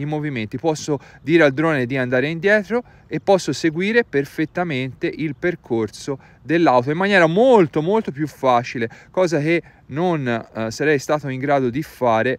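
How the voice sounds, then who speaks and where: A man with lively intonation, in a dry sound with no echo. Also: moderate pace. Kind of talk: tutorial. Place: open country.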